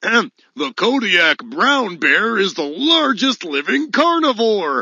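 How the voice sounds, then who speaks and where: A put-on character voice, fairly high in pitch with very wide pitch swings, at a very slow pace. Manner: growly.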